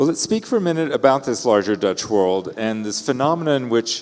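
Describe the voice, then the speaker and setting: A man with a Texan accent and lively intonation, with noticeable background noise. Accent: Texan American. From Texas, Houston. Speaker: interviewer. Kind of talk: onstage conversation.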